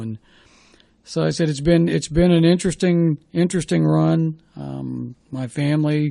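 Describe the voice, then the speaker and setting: A man with a US Midwestern accent speaks in a dark, mellow tone. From Ohio, Dayton area. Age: 60s. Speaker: former sports radio host and baseball coach. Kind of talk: podcast interview. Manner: conversational, reflective.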